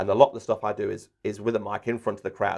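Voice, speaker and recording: A man with an English accent at a very fast pace, quiet background behind him. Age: 40s. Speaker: sports commentator and trainer. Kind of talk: interview. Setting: podcast recording. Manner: animated.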